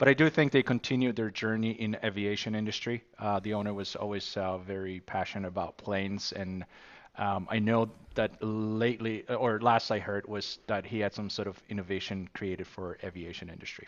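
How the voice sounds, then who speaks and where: A man with an unremarkable speaking voice talks with fairly even intonation. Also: fairly low pitch for a man. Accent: American. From New York City. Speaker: tech company founder. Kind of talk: interview.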